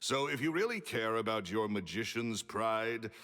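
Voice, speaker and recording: Booming and fairly low in pitch, a man speaks at a very slow pace. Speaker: video game character. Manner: curt, dismissive.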